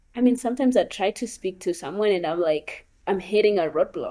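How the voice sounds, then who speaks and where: A woman with a Kenyan accent, medium pitch, dark, mellow tone, fairly quick pace and ordinary pitch variation. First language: Luo. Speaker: gap year program participant. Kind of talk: interview conversation.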